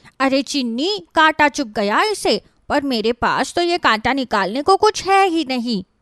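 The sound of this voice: In a cartoonish character voice, a female-sounding speaker goes at a moderate pace with a high pitch and hardly any pauses.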